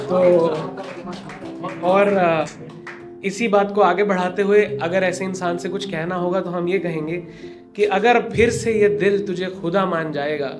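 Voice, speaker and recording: Over music in the background, a man speaks at a high pitch with fairly even intonation and long, frequent pauses. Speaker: spoken word poet. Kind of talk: live open mic poetry performance. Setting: live stage with audience.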